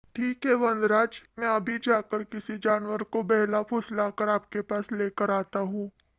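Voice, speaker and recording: Over a silent background in a very clean recording, a cartoonish character voice that sounds female talks at a moderate pace in a flat monotone with hardly any pauses. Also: medium pitch for a woman. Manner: flattering, scheming.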